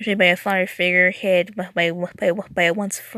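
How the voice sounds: It's a natural reading voice.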